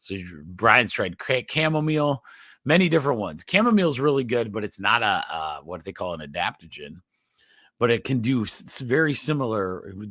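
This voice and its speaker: A man's voice has a bright, sharp tone, vocal fry and very wide pitch swings. The recording is very clean, with a silent background. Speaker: chiropractor and health show host. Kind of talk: live stream health talk. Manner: halting, stuttering.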